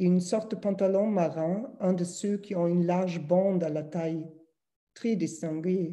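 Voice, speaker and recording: Dark and mellow in tone, a woman with a strong German accent speaks at a fairly slow pace with fairly even intonation. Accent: thick German. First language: German (speaking French). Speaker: publisher. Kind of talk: reading aloud.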